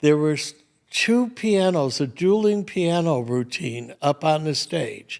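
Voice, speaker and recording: Speaking with an American accent, a man has a high pitch and lively intonation. His pace is very slow. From Michigan, Detroit. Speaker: retired restaurateur. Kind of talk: casual interview conversation. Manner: animated.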